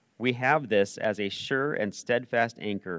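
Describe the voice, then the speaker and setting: With an unremarkable speaking voice, a man talks at a moderate pace with ordinary pitch variation in a dry, close sound with no echo on a very clean recording against a silent background. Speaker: church service leader reading scripture. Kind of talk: reading aloud. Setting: church.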